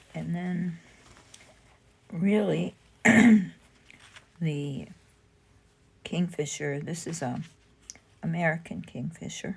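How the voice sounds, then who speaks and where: Speaking at a very slow pace with long, frequent pauses, a woman uses vocal fry and ordinary pitch variation. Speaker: fabric artist. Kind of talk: tutorial. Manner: casual, with filler words.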